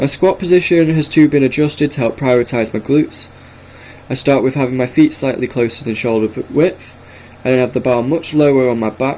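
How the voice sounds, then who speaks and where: At a fairly quick pace, a man speaks at a medium pitch with fairly even intonation over noticeable background noise. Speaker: personal trainer. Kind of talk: workout voice-over narration. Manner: some stuttering.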